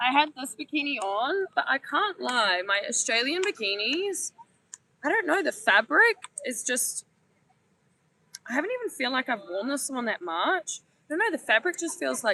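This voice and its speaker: In a raised, projected voice with very wide pitch swings, the speaker talks at a moderate pace in a dry, close sound with no echo. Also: woman. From New Zealand. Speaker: travel vlogger. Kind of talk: casual vlog chat. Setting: outdoors on a beach.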